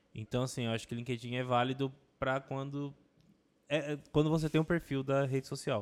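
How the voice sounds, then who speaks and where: In a monotone, flat intonation, a man speaks at medium pitch and a fairly quick pace. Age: 20s. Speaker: advertising professional. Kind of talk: casual chat.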